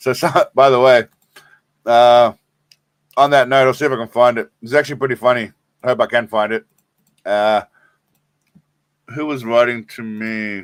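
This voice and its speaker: Speaking with an Australian accent at a moderate pace, a man uses a medium pitch and fairly even intonation, leaving long, frequent pauses in a dry, close sound with no echo. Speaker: live streamer. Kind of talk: casual live stream chat.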